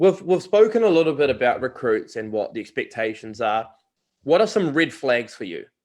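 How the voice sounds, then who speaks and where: Speaking fairly quickly in a strong New Zealand accent, a man uses a fairly high pitch with very wide pitch swings and big swings in loudness. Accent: thick New Zealand. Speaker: sports recruiting podcast host. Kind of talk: interview. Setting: video call.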